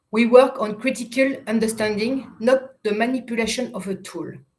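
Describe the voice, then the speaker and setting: A woman speaks at a moderate pace with a fairly high pitch. Her voice is somewhat breathy and her intonation fairly even. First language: French. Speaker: youth education project manager. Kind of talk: prepared interview answers. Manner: halting, self-correcting.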